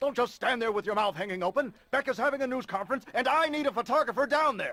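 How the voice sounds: A man speaks fast in a put-on character voice, his extremely high pitch paired with a bright, sharp tone and lively intonation.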